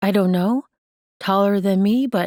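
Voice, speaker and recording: Putting on a character voice, a woman speaks at medium pitch with fairly even intonation in a dry, close sound with no echo. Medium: read story. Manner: soft, gentle.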